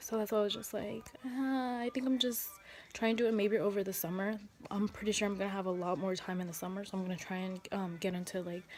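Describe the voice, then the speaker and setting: Soft-spoken, a woman at a medium pitch talks at a very fast pace. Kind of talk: casual talk to camera.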